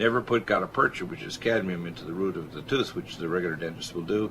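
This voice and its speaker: A man speaks at a very fast pace in a very deep, low voice with ordinary pitch variation. His loudness swings widely over noticeable background noise. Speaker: medical doctor and radio show host. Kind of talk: radio health talk show.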